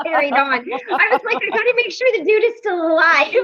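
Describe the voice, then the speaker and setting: A woman with an American accent talks with very wide pitch swings. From Colorado. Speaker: recovery meeting participant. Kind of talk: casual chat. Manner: halting, many fillers.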